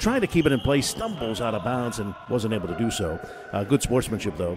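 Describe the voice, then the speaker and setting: Energetic and lively, a man speaks at a medium pitch and a fairly quick pace. Noticeable background noise can be heard. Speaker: professional radio play-by-play announcer. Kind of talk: sports play-by-play commentary. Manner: fast, fluent, energetic.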